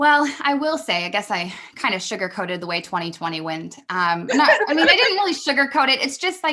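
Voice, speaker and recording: A woman's raised, projected voice, high-pitched with a bright, sharp tone, very wide pitch swings and a fairly quick pace. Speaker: business mentor. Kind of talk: podcast interview. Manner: fast.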